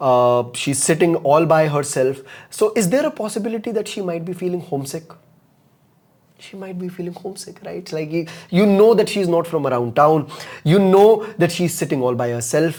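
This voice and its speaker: In an Indian accent, a man with a high pitch speaks at a moderate pace, his intonation lively and his loudness swinging widely. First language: Hindi. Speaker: communication coach. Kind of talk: live online masterclass. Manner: animated.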